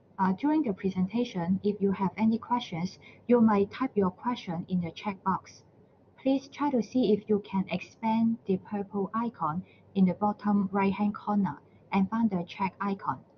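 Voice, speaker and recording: Somewhat breathy, the voice keeps a moderate pace and ordinary pitch variation. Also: woman, medium pitch for a woman. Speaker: university librarian presenter. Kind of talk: webinar presentation. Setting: online webinar.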